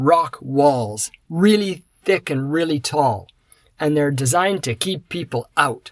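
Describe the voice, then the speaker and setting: A normal speaking voice moves at a fairly slow pace with lively intonation. The recording is very clean and the background silent. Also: man. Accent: Canadian. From Canada. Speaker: podcast host. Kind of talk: scripted monologue for English learners.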